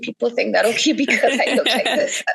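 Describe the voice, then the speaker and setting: A woman's voice with a Caribbean accent. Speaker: writer and poet. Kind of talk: podcast interview.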